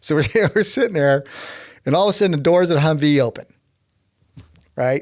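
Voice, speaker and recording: With a Texan accent, a man speaks at a very fast pace in a fairly high voice, leaving long, frequent pauses. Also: ordinary pitch variation. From Texas. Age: 60s. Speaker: climber and inventor. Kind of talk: casual storytelling interview. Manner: animated.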